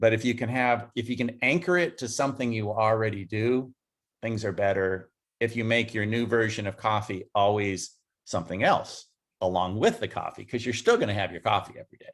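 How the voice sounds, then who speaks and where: This man has an ordinary speaking voice, medium in pitch, with ordinary pitch variation and a fairly quick pace. The recording is very clean, with a silent background. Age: 60s. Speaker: entrepreneur. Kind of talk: interview.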